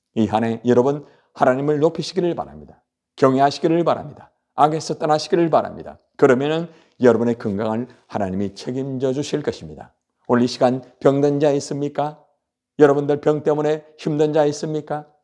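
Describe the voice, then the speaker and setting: This man's voice sits fairly high and shows ordinary pitch variation. He talks at a fairly quick pace. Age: 60s. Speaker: pastor. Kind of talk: sermon. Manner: animated.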